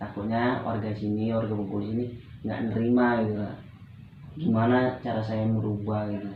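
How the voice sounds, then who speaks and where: Fairly low-pitched male speech at a fairly quick pace, monotone and flat, with noticeable background noise and audible room echo. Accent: Medan. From Medan, North Sumatra, Indonesia. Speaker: student playing counseling client. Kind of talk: role-play counseling session.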